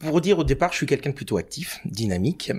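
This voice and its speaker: A man talks with very wide pitch swings. The recording is very clean, with a silent background. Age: 50s. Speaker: cancer patient and freelance trainer. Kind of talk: podcast interview testimony. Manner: hesitant, many fillers.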